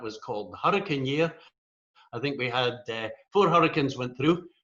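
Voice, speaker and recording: In a strong Scottish accent, a man talks at a very fast pace with lively intonation. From Scotland. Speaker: rotary coordinator, speaker. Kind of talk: humorous talk. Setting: virtual meeting.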